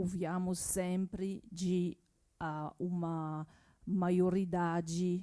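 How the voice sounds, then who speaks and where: Speaking at a very slow pace, a woman with a French accent has a dark, mellow tone and a medium pitch. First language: French (speaking Portuguese). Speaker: symposium audience member. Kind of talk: public discussion remarks. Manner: halting.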